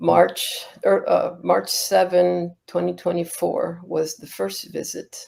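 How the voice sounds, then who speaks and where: A woman is speaking. Her pace is very slow. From Cuba and the US, Cuban-American family. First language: Spanish. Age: 60s. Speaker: Buddhist nun. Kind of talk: interview. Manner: halting.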